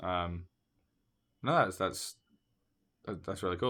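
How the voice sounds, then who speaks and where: The tone of this man's voice is bright and sharp. The recording is very clean, with total silence behind it. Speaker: podcast host. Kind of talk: casual chat.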